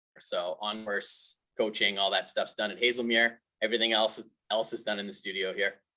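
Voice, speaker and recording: A man speaks with a Canadian accent. His pace is fairly quick. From Canada, British Columbia (Revelstoke). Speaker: golf instructor. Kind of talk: webinar interview.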